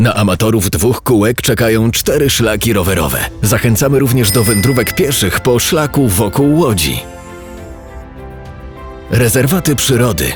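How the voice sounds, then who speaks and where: A man speaks at a medium pitch and a moderate pace, his loudness very even and his intonation lively. Music plays in the background. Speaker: promotional film narrator. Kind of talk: promotional documentary narration.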